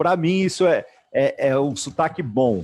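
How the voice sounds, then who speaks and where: A man with a fairly high pitch speaks in an ordinary speaking voice. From Brazil. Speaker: entrepreneurship event host. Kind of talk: interview.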